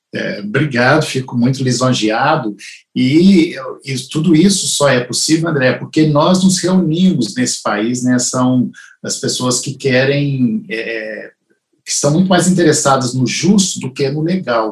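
A man's somewhat breathy voice, fairly high in pitch, with lively intonation. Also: fairly slow pace. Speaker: family lawyer and show host. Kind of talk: interview conversation. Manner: halting.

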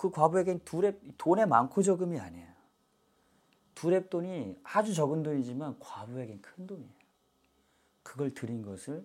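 A man speaks at a moderate pace in a fairly high voice, pausing long and often. His pitch swings very widely, and his loudness rises and falls sharply. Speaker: pastor. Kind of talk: sermon. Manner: animated.

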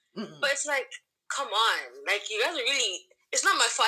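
A woman with a fairly high pitch talks at a fairly quick pace, her pitch swinging very widely. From Canada, Toronto. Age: 20s. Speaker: student. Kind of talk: casual chat. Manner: animated.

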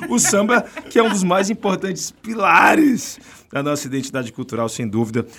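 A man talks at a moderate pace. His high pitch makes very wide swings. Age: 40s. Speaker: podcast host. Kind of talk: casual chat; scripted narration. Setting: studio.

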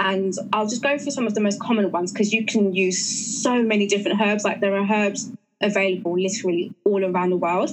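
Audible room echo carries a woman with an English accent. She talks at a fairly quick pace with hardly any pauses and fairly even intonation. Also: medium pitch for a woman. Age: 30s. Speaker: natural health practitioner. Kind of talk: interview.

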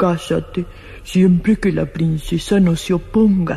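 A woman's put-on character voice at a medium pitch, fairly slow, with light background noise.

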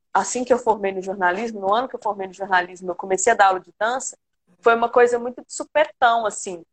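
A woman's fairly high voice, with ordinary pitch variation, is heard over background music. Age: 30s. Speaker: dance teacher. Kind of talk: casual interview. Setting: live stream video call.

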